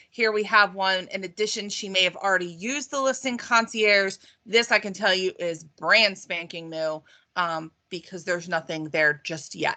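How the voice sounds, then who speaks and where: In a bright, sharp tone, a woman speaks at medium pitch and a moderate pace, with ordinary pitch variation over a quiet background. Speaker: real estate marketing trainer. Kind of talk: online training webinar with screen share. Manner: casual with many fillers.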